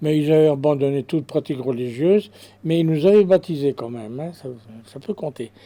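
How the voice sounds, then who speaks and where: With a dark, mellow tone, this man's voice rides fairly high in pitch. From Spain, Basque Country (Bilbao), raised in France from age 7. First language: Spanish (speaking French). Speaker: witness of the Garabandal events. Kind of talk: testimony. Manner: halting, many hesitations and repetitions.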